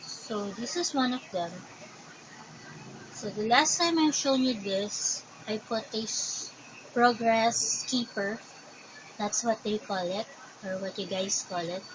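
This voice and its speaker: With a Filipino accent, a woman speaks very slowly in a fairly high voice with ordinary pitch variation. Her long pauses come often, amid noticeable background noise. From Philippines. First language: Tagalog. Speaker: crochet vlogger. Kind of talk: casual show and tell.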